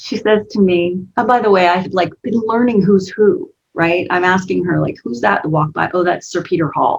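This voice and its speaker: A woman with an animated tone and vocal fry speaks at a moderate pace, with ordinary pitch variation and hardly any pauses. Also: medium pitch for a woman. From United States. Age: 50s. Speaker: business coach. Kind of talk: interview.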